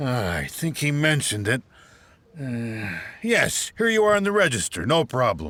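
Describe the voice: A man puts on a character voice at medium pitch with big pitch swings, a bright, sharp tone and a fairly slow pace.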